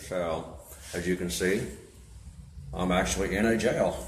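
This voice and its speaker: Over light background noise and with audible room echo, a man speaks at a fairly slow pace. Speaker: live streamer. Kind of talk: casual live stream chat. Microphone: phone near.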